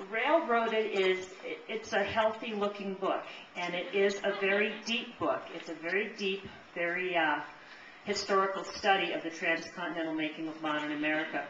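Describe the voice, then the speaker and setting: A woman speaks at medium pitch with ordinary pitch variation, with audible room echo and noticeable background noise. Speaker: librarian. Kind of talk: book talk presentation. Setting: audience in a room. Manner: fast.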